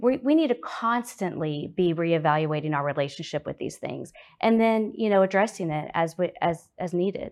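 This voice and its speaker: Against a quiet background, a woman with a normal speaking voice, fairly low pitch and lively intonation talks at a moderate pace. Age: 40s. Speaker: recovery group founder and travel agent. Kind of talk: testimony.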